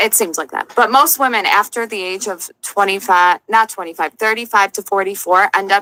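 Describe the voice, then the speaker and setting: Her pitch is medium for a woman, and she has an ordinary speaking voice with ordinary pitch variation, talking at a moderate pace in a dry, close sound with no echo. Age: 20s. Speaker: podcast panelist. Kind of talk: heated debate.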